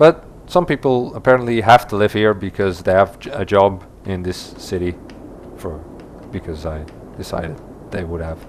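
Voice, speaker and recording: Long, frequent pauses in a Dutch accent, with noticeable background noise. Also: man, fairly low pitch for a man, ordinary pitch variation, moderate pace. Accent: non-native English, Dutch. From Netherlands. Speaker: gaming YouTuber. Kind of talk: let's play commentary. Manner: halting, many fillers and restarts.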